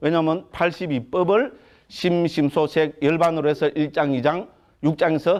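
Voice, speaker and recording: A man with a Gyeongsang accent talks in an animated tone at a fairly slow pace, his loudness very even, over a quiet background. His pitch is fairly high and shows ordinary variation. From Gyeongsang province, Korea. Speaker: Buddhist monk lecturer. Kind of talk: lecture. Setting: lecture hall with audience. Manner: animated, conversational.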